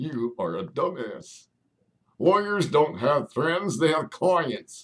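A man does a put-on character voice in a fairly high pitch at a very slow pace. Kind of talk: comedy ventriloquist routine. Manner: gruff, insulting.

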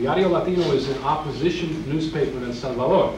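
Amid noticeable background noise and audible room echo, a man speaks with an American accent. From Brooklyn, New York. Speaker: poet. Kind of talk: poetry reading to a live audience, between chatty introductions. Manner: intense, rhythmic, declamatory delivery of dense imagery; wry, humorous between poems. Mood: earnest, politically charged. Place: hall. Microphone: podium.

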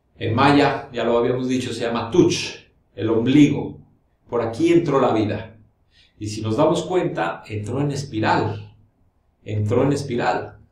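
Amid audible room echo, a man speaks at a fairly slow pace with ordinary pitch variation. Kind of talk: explanatory talk to camera. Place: studio.

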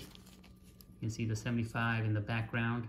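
The speech moves at a fairly slow pace. Light background noise can be heard. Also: man. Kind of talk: show-and-tell commentary. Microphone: phone near.

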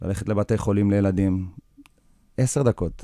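This man has a fairly low pitch and a dark, mellow tone, speaking at a moderate pace with fairly even intonation. The sound is dry with no echo, and the background is quiet. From kibbutz in northern Israel, born in South Africa. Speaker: professional football goalkeeper; interview guest. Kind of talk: interview. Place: studio. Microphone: studio mic.

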